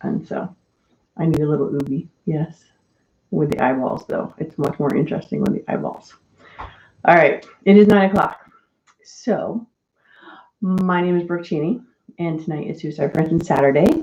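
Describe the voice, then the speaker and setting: A soft-spoken woman with a fairly low voice talks at a moderate pace, using ordinary pitch variation and long, frequent pauses. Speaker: mental health live-stream host. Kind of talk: casual chat. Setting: live stream.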